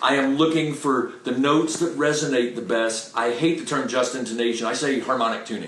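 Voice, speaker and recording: Amid noticeable background noise and audible room echo, a man talks at a fairly quick pace with fairly even intonation and hardly any pauses. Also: medium pitch for a man. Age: 60s. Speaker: microtonal guitarist. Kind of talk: casual chat.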